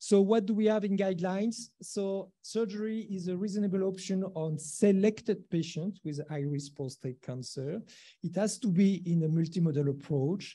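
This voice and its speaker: With hardly any pauses, a man talks at a moderate pace in a high voice, his tone dark and mellow, his pitch varying in an ordinary way over a quiet background. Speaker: presenter. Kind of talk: lecture. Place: hall.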